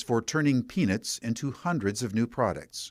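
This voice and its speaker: With an ordinary speaking voice, a man at medium pitch talks at a fairly quick pace with lively intonation. The recording is very clean, its background silent. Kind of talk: public radio feature narration.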